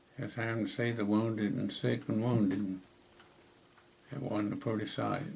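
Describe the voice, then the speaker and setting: This man has a fairly low pitch and fairly even intonation at a moderate pace. He leaves long, frequent pauses. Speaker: war veteran. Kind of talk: interview answer. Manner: hesitant.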